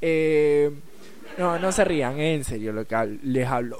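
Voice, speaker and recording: A man with an Argentine accent talks in an animated tone at a moderate pace. The room echo is audible. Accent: Rioplatense Argentine Spanish. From Rosario, Argentina. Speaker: radio host. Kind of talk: casual radio chat.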